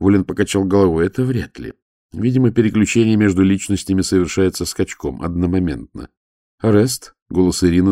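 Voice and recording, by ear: All is quiet behind the speaker. The passage is read aloud in a natural voice.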